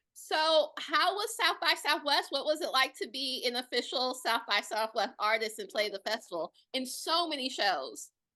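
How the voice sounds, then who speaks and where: A woman's high, raised, projected voice with an American accent, bright and sharp in tone, at a moderate pace with very wide pitch swings, over a quiet background. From Detroit, US. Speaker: interviewer. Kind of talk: interview.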